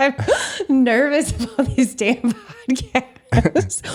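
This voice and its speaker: A woman with a strong Midwestern accent at a very slow pace, over noticeable background noise. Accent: Midwest accent, thick. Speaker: painter and curator. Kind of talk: casual chat.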